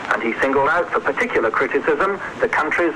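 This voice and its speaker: With noticeable background noise behind him, a man rattles off words at a very fast pace. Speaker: radio news correspondent. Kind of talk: radio news report from abroad.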